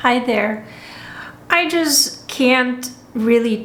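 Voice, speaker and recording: A woman's very slow, lively speech in a Lithuanian accent, with audible room echo. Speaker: spa owner. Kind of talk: personal commentary monologue. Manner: halting.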